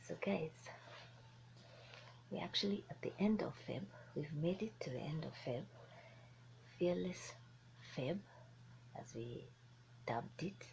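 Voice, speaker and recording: A woman with a very deep, low pitch and vocal fry speaks at a fairly slow pace, her pitch swinging very widely between long, frequent pauses. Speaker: motivational speaker. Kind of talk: motivational talk. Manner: animated.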